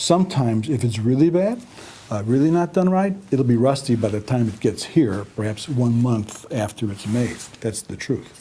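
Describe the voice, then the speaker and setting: Soft-spoken and somewhat breathy, a man talks in a dark, mellow tone at a medium pitch. His intonation is lively and his pace moderate. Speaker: company founder and president. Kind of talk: product explanation to camera. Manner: soft-spoken, quiet.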